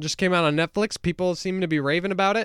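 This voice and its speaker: A man speaks in a raised, projected voice at a high pitch, his tone bright, sharp and animated. The sound is dry and close, with no echo. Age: 20s. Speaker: podcast co-host. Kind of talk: casual chat. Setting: remote recording.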